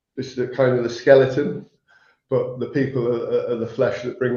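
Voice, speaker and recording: A man's somewhat breathy, medium-pitched voice, fairly quick and flat in a monotone. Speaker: manufacturing account manager. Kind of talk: podcast interview. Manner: halting, many repeated words.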